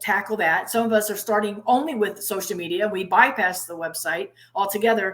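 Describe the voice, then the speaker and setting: A woman speaks at a fairly quick pace, her pitch medium with ordinary variation. It is a normal speaking voice. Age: 60s. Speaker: conference MC and interviewer. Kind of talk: interview.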